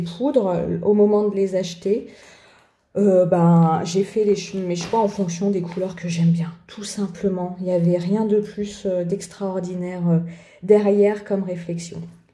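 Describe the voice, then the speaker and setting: Very slow speech from a woman in a strong French accent, dark and mellow in tone, at a medium pitch, with audible room echo. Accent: strong French accent on English words. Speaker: art journaling youtuber. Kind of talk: tutorial, supplies presentation. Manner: hesitant, many filler sounds; casual, chatty.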